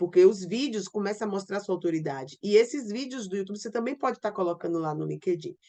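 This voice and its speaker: A woman's medium-pitched voice, a plain, everyday voice. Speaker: online business coach. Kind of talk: online class. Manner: informal.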